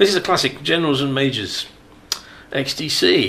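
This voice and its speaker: A man speaks with a British accent. There is noticeable background noise behind him. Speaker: radio host. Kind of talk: casual chat. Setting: studio. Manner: jokey, banter.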